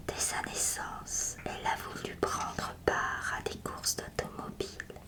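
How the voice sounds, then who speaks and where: Whispering from a woman, very slow, with noticeable background noise. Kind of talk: whispered literary reading of a short story. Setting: ASMR audio recording. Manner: whispered, soft.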